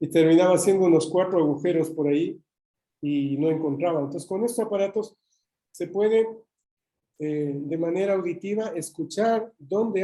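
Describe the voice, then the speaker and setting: This man's high-pitched voice has a dark, mellow tone. He moves at a moderate pace with ordinary pitch variation. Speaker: engineer giving a technical talk. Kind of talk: webinar presentation. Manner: hesitant, with fillers.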